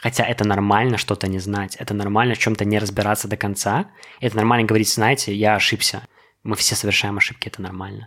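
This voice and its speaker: At a very fast pace, a man speaks in a fairly low pitch with a monotone, flat intonation. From Belarus. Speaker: podcast guest. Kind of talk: casual chat.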